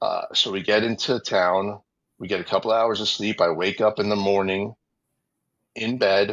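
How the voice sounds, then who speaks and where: Fairly low-pitched man with a New York accent, fairly even intonation and a moderate pace. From New York City, Queens. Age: 40s. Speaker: former TV wrestling producer. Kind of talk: interview storytelling. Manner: casual, many fillers and repetitions.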